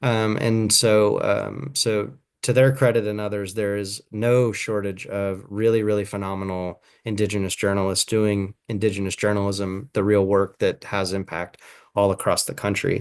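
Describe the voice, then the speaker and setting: Against a quiet background, a man speaks with fairly even intonation at a fairly low pitch. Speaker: journalism trainer. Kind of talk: online workshop presentation. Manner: fast.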